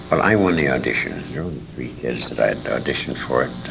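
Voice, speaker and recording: Against noticeable background noise and audible room echo, a man speaks with very wide pitch swings. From England, raised partly in Detroit. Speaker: retired radio actor. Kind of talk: interview reminiscence. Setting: convention.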